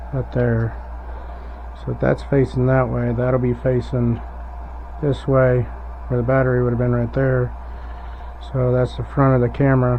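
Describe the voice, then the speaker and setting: A man mumbling at a moderate pace, with long, frequent pauses and noticeable background noise. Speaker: hobbyist doing a DIY electronics mod. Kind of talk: casual tutorial. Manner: mumbling, thinking aloud.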